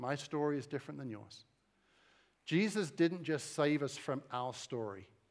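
Using ordinary pitch variation, a man with an American accent speaks at a fairly quick pace in a fairly high voice. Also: big swings in loudness. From eastern England. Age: 40s. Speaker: pastor. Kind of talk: sermon. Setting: church with audience.

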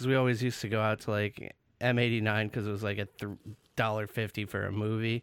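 A man with an American accent speaks very fast in a flat monotone at a fairly low pitch. The recording is very clean, with a silent background. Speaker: podcast co-host. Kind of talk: casual chat. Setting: studio. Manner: laughs often, joking.

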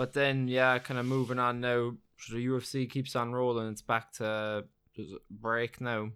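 On a very clean recording with a silent background, a man with an Irish accent speaks at a moderate pace in a medium pitch with monotone, flat intonation. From Ireland. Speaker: podcast co-host, MMA fan. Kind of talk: casual chat.

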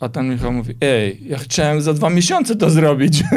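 A man speaks in a normal speaking voice at a moderate pace with ordinary pitch variation. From Armenia. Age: 40s. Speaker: business manager and amateur crossfit athlete. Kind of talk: casual interview.

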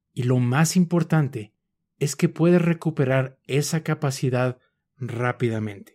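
In a very clean recording with a silent background and a dry, close sound with no echo, a man with a Mexican accent speaks calmly at a fairly slow pace, his dark, mellow, somewhat breathy voice set at a fairly high pitch with ordinary pitch variation. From Mexico City. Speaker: mindfulness podcast host. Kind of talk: scripted mindfulness talk.

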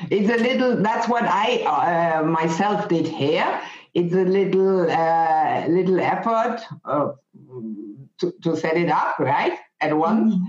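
Keeping her loudness very even, a woman talks at a very slow pace with medium pitch and ordinary pitch variation. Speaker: podcast host. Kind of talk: casual interview chat. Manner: halting, many fillers and repetitions.

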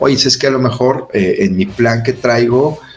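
Noticeable background noise sits behind a man of medium pitch who speaks at a fairly quick pace with ordinary pitch variation. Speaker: doctor and engineer explaining protein supplements. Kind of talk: casual explanatory chat. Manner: sounds stern or angry by default.

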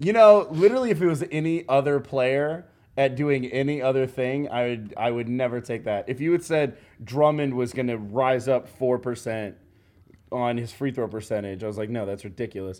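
At a moderate pace, a man uses a normal speaking voice with medium pitch and ordinary pitch variation. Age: 20s. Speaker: basketball podcast host. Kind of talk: casual chat. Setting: studio.

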